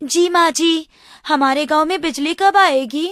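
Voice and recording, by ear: Putting on a cartoonish character voice, a woman speaks in an extremely high pitch at a fairly slow pace.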